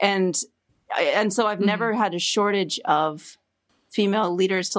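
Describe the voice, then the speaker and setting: An ordinary speaking voice from a woman, medium in pitch and fairly quick, on a very clean recording with a silent background. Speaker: podcast producer and recording artist. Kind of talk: casual interview chat.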